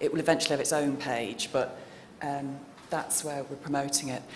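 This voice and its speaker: A woman with a British accent speaks amid noticeable background noise and audible room echo. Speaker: researcher. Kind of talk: conference presentation. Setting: conference hall with audience.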